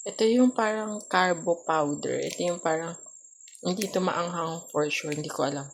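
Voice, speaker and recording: Soft-spoken delivery at a moderate pace, ordinary pitch variation, and noticeable background noise. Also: woman. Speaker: vlogger. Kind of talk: casual vlog chat. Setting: home kitchen at night.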